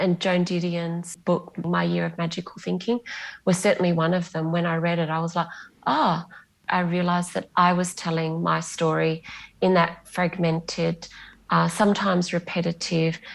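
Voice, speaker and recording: A woman with an Australian accent, fairly low in pitch, in a flat monotone. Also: moderate pace. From Western Australia, Bunbury. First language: Greek. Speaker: novelist. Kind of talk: interview.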